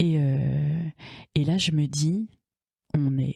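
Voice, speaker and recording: A woman speaks at a very slow pace, her voice very deep and low, somewhat breathy. Her tone is dark and mellow, and the sound is dry and close with no echo. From France, Paris suburbs. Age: 40s. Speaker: podcast guest, feminist activist. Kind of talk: casual interview chat. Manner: halting, many fillers.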